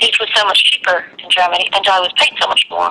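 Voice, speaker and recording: Noticeable background noise sits under the recording. A woman speaks at a very fast pace over it. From London, later Ireland. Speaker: emigrant teacher. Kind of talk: interview.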